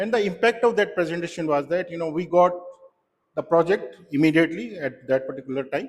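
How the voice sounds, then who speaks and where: A man with an Indian accent rattles along at a very fast pace, his high voice carrying lively intonation. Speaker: solution architect, club speaker. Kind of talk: prepared club speech. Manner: halting, with many fillers.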